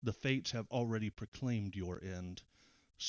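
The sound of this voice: With ordinary pitch variation, the reading voice sounds unforced.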